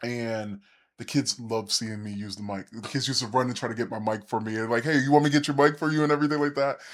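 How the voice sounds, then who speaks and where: The speaker has an American accent and talks at a very fast pace with ordinary pitch variation. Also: man, medium pitch for a man, very clean recording, silent background. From US South, central Florida. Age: 30s. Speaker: educator, teacher coach. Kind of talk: interview conversation.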